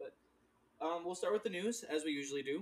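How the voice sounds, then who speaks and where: A man with an unremarkable speaking voice talks at a fairly quick pace, using ordinary pitch variation. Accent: American. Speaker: podcast host.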